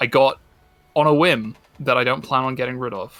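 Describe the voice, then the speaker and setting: A man talks at a moderate pace with an RP accent. His medium pitch shows ordinary variation. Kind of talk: refined, standard.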